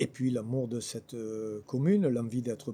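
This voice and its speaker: Delivered at a fairly slow pace, the voice has a dark, mellow tone and ordinary pitch variation. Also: man. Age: 60s. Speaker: local election candidate. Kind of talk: interview. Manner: hesitant with fillers.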